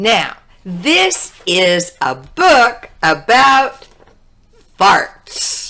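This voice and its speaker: A woman talks very slowly in a fairly high pitch. Her tone is upbeat, with very wide pitch swings. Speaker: English teacher. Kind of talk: children's read-aloud story. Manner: upbeat, friendly.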